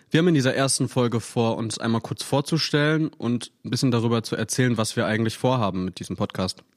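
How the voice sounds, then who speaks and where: A man's medium-pitched voice, very fast with hardly any pauses and ordinary pitch variation, on a very clean recording with a silent background and a dry, close sound with no echo. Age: 20s. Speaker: podcast co-host, ecology graduate. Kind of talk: casual chat. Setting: living room recording.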